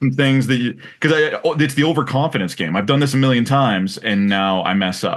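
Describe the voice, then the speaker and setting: An unremarkable speaking voice with lively intonation, a fairly quick pace and hardly any pauses. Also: man, medium pitch for a man. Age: 40s. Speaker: podcast host. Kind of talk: casual interview.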